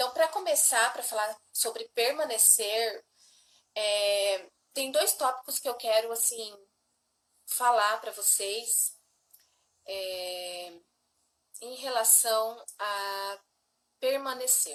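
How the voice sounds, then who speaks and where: A woman speaks at a very slow pace in a fairly high pitch. She leaves long, frequent pauses, with big swings in loudness. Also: ordinary pitch variation. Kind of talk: devotional teaching livestream. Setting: livestream with husband.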